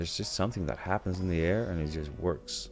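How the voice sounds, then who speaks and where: A man's very deep, low voice with lively intonation, music in the background. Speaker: gaming youtuber. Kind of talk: gameplay commentary.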